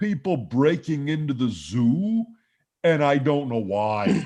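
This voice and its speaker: In a put-on character voice, a man speaks with fairly high pitch at a fairly slow pace. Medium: stage play. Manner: puzzled, hesitant.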